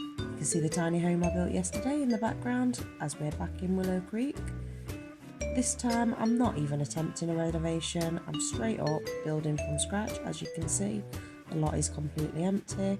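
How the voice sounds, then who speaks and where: With a British accent, a woman speaks at a moderate pace over music in the background. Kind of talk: game commentary voiceover. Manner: casual, chatty.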